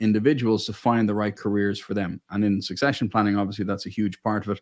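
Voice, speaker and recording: At a very fast pace, a man with an American accent talks at a fairly low pitch with fairly even intonation. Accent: Irish with a slight American twang. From Ireland, Dublin. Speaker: family business owner and mentor. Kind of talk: interview.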